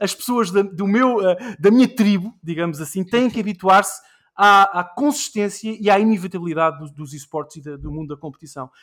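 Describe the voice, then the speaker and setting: A man's high voice runs at a fairly quick pace. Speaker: podcast host. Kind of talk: casual chat.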